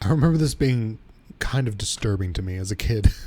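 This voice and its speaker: Somewhat breathy, this man's voice is fairly low in pitch with a dark, mellow tone. His pitch varies in an ordinary way. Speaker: video game streamer. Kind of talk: casual gameplay commentary.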